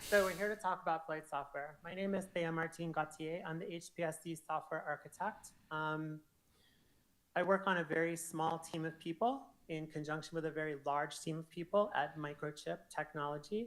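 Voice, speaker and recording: A woman's fairly low-pitched voice with fairly even intonation. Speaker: software architect giving conference talk. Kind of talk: conference presentation. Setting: stage with audience. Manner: fast.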